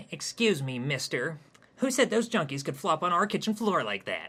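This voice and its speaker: A man speaks in a put-on character voice, pitched high. His pitch swings very widely at a moderate pace. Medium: read story. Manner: prissy, defensive.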